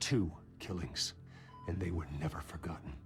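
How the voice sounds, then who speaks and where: A put-on character voice from a man, very deep and low, with clear music in the background. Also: moderate pace. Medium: video game.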